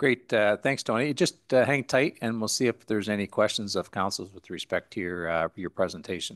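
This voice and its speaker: With a Canadian accent, a man talks at a fairly low pitch and a fairly quick pace, with hardly any pauses. His pitch variation is ordinary, and the background is quiet. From Canada (Ontario). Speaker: mayor chairing council meeting. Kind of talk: council meeting chairing. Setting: council chamber with microphones. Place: hall. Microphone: podium.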